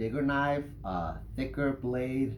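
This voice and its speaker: Amid audible room echo, a man with a slight non-native accent speaks at a medium pitch in a somewhat breathy voice. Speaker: knife reviewer, YouTuber. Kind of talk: product review. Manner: hesitant, many fillers.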